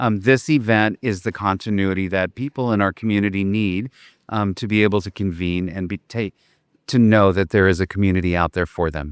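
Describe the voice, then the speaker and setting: With ordinary pitch variation and a fairly quick pace, a man speaks in a fairly low voice on a very clean recording with a silent background. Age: 60s. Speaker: retired art museum director and LGBTQ+ advocate. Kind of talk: interview. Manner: hesitant, many fillers.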